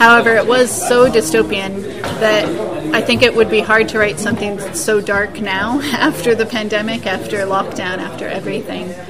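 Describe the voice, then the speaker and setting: Over crowd noise in the background and audible room echo, a woman with an American accent speaks at a moderate pace, her fairly high pitch showing ordinary variation. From United States. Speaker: science fiction author and part-time lecturer. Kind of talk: interview. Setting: busy press room at a festival.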